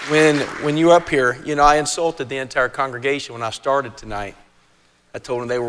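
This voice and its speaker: A man's medium-pitched voice in a West Virginia accent, fairly quick in pace, with ordinary pitch variation and big swings in loudness. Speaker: event emcee. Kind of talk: speech at a gala event. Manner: halting, repeats words.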